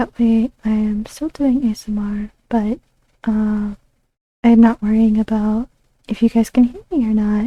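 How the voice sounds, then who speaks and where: A woman's fairly high, somewhat breathy voice, dark and mellow in tone, at a fairly slow pace with fairly even intonation. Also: dry, close sound with no echo. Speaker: streamer. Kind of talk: casual chat. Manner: soft-spoken.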